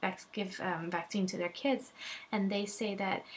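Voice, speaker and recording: Somewhat breathy, a woman's voice moves along at a fairly slow pace. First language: not English. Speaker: vlogger, mother. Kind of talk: personal testimony vlog. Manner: animated; halting.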